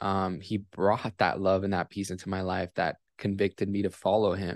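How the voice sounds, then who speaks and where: In an unremarkable speaking voice, a man with a fairly low pitch talks at a moderate pace, the sound dry and close with no echo over a quiet background. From Miami, Florida, US. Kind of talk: testimony.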